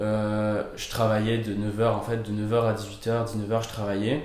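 A man speaks at a medium pitch. Room echo is audible in the recording. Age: 20s. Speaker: fitness coach. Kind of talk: interview. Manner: hesitant, many fillers.

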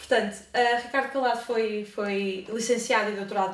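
A woman's fairly even intonation comes through noticeable background noise and audible room echo. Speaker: student interviewer. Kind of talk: interview. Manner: reading aloud.

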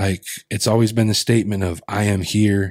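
A man's fairly low voice with an American accent on a very clean recording with a silent background. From Colville reservation, eastern Washington, US. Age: 30s. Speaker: storyteller and hip hop artist. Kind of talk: casual interview chat. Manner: animated, repetitive restarts.

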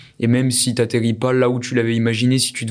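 A man speaks in a monotone with flat intonation at medium pitch. The pace is moderate. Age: 20s. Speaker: entrepreneur and podcast co-host. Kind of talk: casual interview.

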